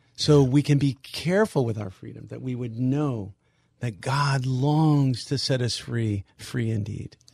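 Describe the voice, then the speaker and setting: A man with a medium-pitched, somewhat breathy voice speaks at a fairly slow pace, his pitch varying in an ordinary way while his loudness swings widely. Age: 60s. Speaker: ministry leader. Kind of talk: interview.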